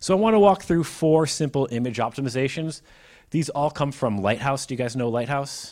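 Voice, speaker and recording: On a very clean recording with a silent background, a man in an American accent uses a plain, everyday voice, fairly high in pitch, fairly quick and with lively intonation. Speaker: mobile and web developer, conference speaker. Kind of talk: technical presentation with Q&A. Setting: live room with audience.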